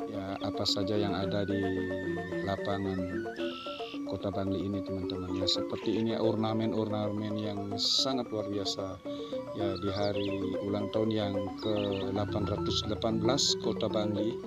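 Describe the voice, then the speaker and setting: A man at a fairly slow pace with long, frequent pauses, loud music playing behind him. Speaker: travel vlogger. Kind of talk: casual vlog commentary. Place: street.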